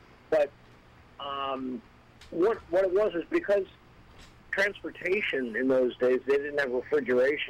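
Long, frequent pauses break up this man's fairly slow speech. His fairly high voice carries lively intonation. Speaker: beer reviewer. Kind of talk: casual chat.

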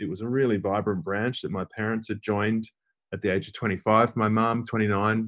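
A man with an Australian accent, medium pitch, fairly even intonation and a moderate pace. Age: 40s. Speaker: journalist and author. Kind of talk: interview.

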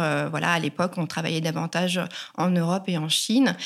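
A woman speaks here. Her voice is fairly low, and her pace is moderate. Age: 40s. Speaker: sustainable fashion consultant. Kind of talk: interview. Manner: halting, frequent fillers and repetitions.

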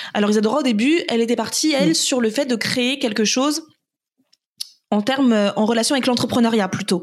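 In an ordinary speaking voice, a woman talks at a fairly quick pace with very even loudness. Her pitch is fairly high, with ordinary variation. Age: 30s. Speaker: entrepreneur. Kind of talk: casual interview.

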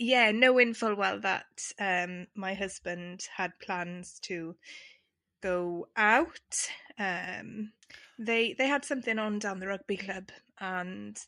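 A woman with an English accent speaks at a very slow pace in a bright, sharp tone. The background is quiet. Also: medium pitch for a woman, ordinary pitch variation. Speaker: podcast co-host. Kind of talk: casual chat.

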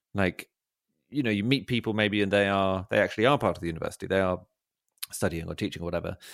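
A man with a southern English accent talks very fast at a fairly low pitch, with ordinary pitch variation and long, frequent pauses. The recording is very clean with a silent background, and the sound is dry and close with no echo. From London, England. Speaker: comedy writer and podcaster. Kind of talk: casual chat. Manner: halting.

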